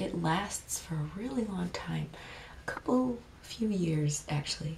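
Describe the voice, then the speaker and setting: A soft-spoken woman talks at a moderate pace and a fairly low pitch. Her pitch varies in an ordinary way, with noticeable background noise behind her. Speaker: ASMR creator; dance teacher. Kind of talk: ASMR show and tell.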